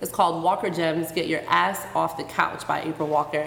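A woman's fairly low voice amid audible room echo and noticeable background noise. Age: 20s. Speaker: podcast host. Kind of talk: casual interview in front of live audience. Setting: stage with live audience.

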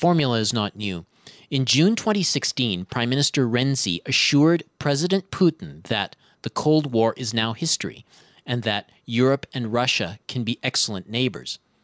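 A man speaks in a normal speaking voice at medium pitch and a moderate pace, with lively intonation. The sound is dry and close with no echo, over a quiet background. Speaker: radio host. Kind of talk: radio interview and news reading. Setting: radio studio.

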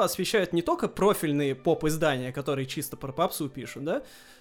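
At a moderate pace, an ordinary speaking voice carries lively intonation. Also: man. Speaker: podcast host. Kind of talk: casual chat.

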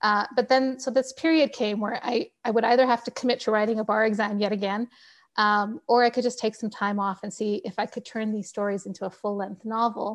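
In a normal speaking voice over a quiet background, the speaker goes at a fairly quick pace with fairly even intonation. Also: woman, fairly high pitch for a woman. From Canada. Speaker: novelist. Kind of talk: interview.

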